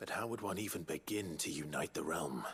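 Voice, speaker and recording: Putting on a character voice, a man speaks very deep and low with lively intonation, very even loudness and a fairly quick pace. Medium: video game. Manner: serious, earnest.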